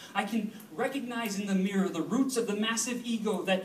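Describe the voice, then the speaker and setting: A man's extremely high-pitched voice amid audible room echo and noticeable background noise. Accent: American. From US suburbs. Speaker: slam poet. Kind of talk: spoken word poetry performance. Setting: stage with audience.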